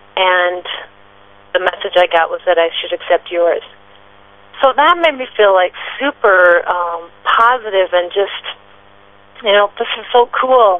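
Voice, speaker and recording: Medium-pitched and fairly slow, a woman speaks with ordinary pitch variation and long, frequent pauses. Background noise is noticeable. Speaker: author and psychic medium. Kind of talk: radio interview.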